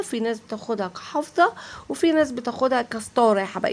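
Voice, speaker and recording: A woman with a high pitch, at a fairly quick pace, with ordinary pitch variation. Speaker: vlogger. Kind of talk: shopping market tour vlog. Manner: casual, chatty with many fillers.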